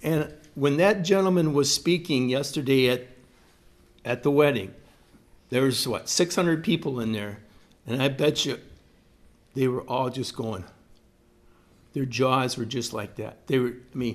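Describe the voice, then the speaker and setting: A man speaks fairly slowly at a medium pitch, with ordinary pitch variation and long, frequent pauses. The recording is very clean, with a silent background. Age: 60s. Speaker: leadership curriculum presenter. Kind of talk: lecture. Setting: church with small audience. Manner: halting.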